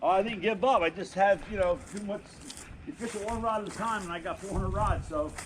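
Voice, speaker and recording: A man speaks very fast in a high pitch with ordinary pitch variation. Noticeable background noise sits behind him. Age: 60s. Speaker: yard sale seller. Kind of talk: casual chat.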